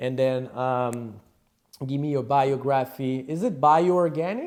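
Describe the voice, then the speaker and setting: A man speaks in a Quebec accent. The recording is very clean, with a silent background. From Quebec, South Shore of Montreal. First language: French. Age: 30s. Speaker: rapper and music producer. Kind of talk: casual vlog monologue. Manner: animated; halting.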